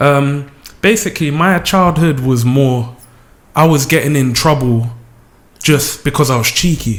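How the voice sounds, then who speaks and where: With a South London accent, the speaker goes at a fairly slow pace with long, frequent pauses and very even loudness. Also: man, fairly high pitch for a man, ordinary pitch variation. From South London, Lewisham. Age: 20s. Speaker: music video creator and deputy manager. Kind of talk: radio interview.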